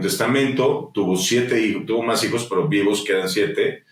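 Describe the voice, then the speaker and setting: This is a male speaker. He has a Mexican accent. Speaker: musician and entrepreneur. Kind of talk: interview conversation. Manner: animated.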